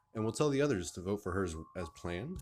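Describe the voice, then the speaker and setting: Music plays in the background as a man talks at a fairly quick pace with lively intonation. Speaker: gaming YouTuber. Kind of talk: let's play commentary with reading game dialogue aloud. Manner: casual, emotional.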